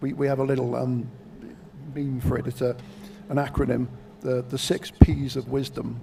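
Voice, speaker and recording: A man with a Welsh accent, medium pitch and a flat monotone, moving at a moderate pace with long, frequent pauses. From Wales. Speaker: shooting event commentator. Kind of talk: live commentary.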